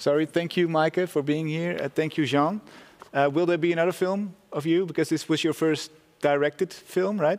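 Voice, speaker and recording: In an ordinary speaking voice, a man talks at a moderate pace with a fairly high pitch and fairly even intonation. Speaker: festival interviewer. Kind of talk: panel interview. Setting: venue room with audience and Zoom guest. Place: studio. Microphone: lapel.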